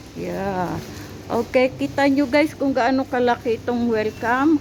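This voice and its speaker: A woman speaks very slowly at a high pitch. Noticeable background noise can be heard. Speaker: vlogger and caregiver of a child. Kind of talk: casual vlog narration while shopping. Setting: supermarket. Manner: animated, talking to a toddler.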